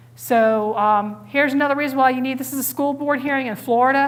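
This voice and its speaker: A woman speaks loudly. Her pace is fairly quick. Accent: American. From Connecticut. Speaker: police officer and safety trainer. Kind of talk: training talk. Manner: fast.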